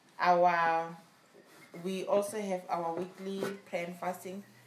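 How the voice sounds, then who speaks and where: Noticeable background noise sits behind a woman whose fairly low voice stays monotone and flat. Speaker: church service assistant. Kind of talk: reading aloud testimony, announcements and scripture. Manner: formal, measured reading.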